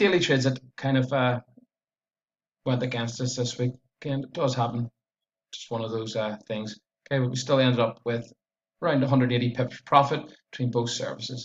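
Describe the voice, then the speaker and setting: Speaking at a fairly quick pace with long, frequent pauses, a man with a strong Belfast accent uses a medium pitch, a somewhat breathy voice and fairly even intonation. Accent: strong Northern Irish (Belfast). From Northern Ireland, Belfast area. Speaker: forex trader. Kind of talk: trading recap and chart analysis. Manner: tends to speak fast.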